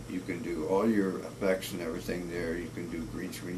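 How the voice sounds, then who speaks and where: Very deep and low, a man's pitch sits far down. Noticeable background noise and audible room echo surround him. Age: 60s. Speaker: cinematographer. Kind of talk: casual video blog monologue. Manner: halting, many fillers.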